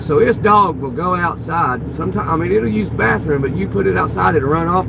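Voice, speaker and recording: Over noticeable background noise, a man talks at a fairly quick pace, his fairly high voice making very wide pitch swings. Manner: casual, rambling.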